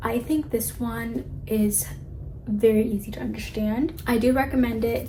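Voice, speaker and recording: With audible room echo and noticeable background noise, a woman talks in a fairly high voice. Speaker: booktuber. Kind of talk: casual vlog talk. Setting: in bed at night. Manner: animated; quiet, late at night.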